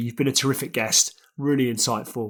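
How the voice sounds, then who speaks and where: Fairly even intonation and a fairly quick pace come through in a very clean recording with a silent background. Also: man. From UK. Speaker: podcast host. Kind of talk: interview. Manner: formal.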